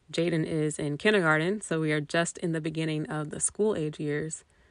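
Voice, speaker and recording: In a US Midwestern accent, a woman speaks at a moderate pace with a very deep, low pitch against a quiet background. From Indiana, US Midwest. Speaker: podcast host, mother. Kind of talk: casual monologue.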